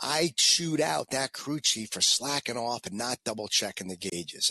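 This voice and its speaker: Here a man speaks with a New York accent and lively intonation. His tone is bright and sharp. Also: dry, close sound with no echo. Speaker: former fighter pilot and motivational speaker. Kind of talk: interview storytelling.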